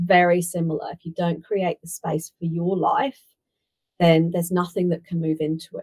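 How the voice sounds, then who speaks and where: A woman with a fairly low pitch speaks at a moderate pace, somewhat breathy and with monotone, flat intonation. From UK. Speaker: business consultant. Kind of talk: podcast interview.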